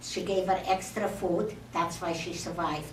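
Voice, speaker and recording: A woman's fairly low-pitched voice at a moderate pace, with audible room echo and noticeable background noise. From Czechoslovakia. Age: 80s+. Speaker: Holocaust survivor. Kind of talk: testimony. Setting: speaking to an audience in a temple. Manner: halting.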